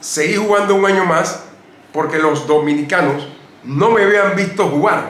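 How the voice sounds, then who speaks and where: A man speaks fairly slowly with ordinary pitch variation, over noticeable background noise and audible room echo. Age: 70s. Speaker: retired basketball player. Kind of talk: interview.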